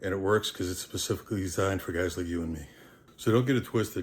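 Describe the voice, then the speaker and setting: A man talks at a very fast pace in a very deep, low voice that is somewhat breathy. The recording is very clean, with a silent background. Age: 60s. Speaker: strength coach. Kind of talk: casual talk to camera. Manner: direct, blunt.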